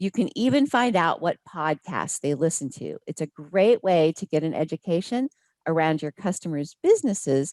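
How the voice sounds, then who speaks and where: A woman talks in a fairly low voice at a moderate pace, with very wide pitch swings. The sound is dry and close, with no echo. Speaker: hospitality sales trainer. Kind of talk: webinar presentation.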